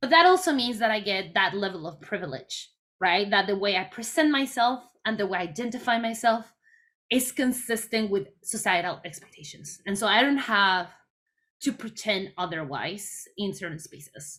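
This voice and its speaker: A woman speaks with a Mexican accent and a bright, sharp tone. Her intonation is lively, and her loudness swings widely. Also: medium pitch for a woman, moderate pace. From Mexico, Mexico City. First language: Spanish. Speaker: chemistry education researcher. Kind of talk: workshop talk.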